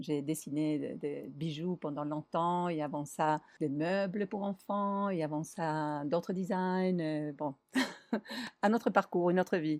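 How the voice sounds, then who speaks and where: Over a quiet background, a woman with a Spanish accent talks at a very slow pace in a fairly low pitch with ordinary pitch variation. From Argentina, Buenos Aires. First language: Spanish (speaking French). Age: 50s. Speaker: designer and traveller. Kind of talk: interview.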